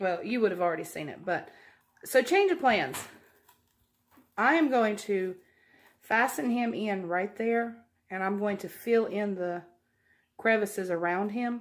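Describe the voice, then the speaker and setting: On a very clean recording with a silent background, a woman with a Southern US accent speaks at a fairly slow pace, her lively intonation broken by long, frequent pauses. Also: medium pitch for a woman. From US South. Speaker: craft YouTuber. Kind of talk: tutorial. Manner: casual.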